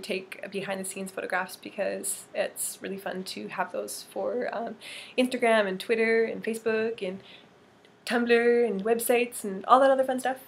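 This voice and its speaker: A woman with a Canadian accent and an unremarkable speaking voice talks at a fairly high pitch, her loudness swinging widely. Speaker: model and vlogger. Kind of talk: casual vlog. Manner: filler-heavy, um and like.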